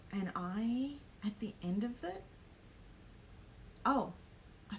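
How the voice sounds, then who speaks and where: A woman with an Australian accent speaks over noticeable background noise. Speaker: planner vlogger and small business owner. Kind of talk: live stream vlog. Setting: home live stream. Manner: hesitant, many ums.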